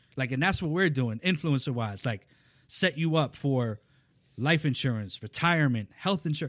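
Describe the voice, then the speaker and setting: Over a quiet background, a man with an ordinary speaking voice and fairly high pitch talks at a moderate pace with lively intonation. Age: 40s. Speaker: talent manager. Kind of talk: casual interview chat. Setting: studio.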